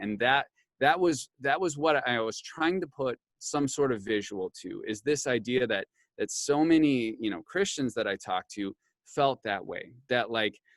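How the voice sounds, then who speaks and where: Speaking with an Upper Midwest US accent, a man uses lively intonation at medium pitch and a moderate pace, heard with a dry, close sound and no echo. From rural Wisconsin. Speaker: pastor and author. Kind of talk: interview.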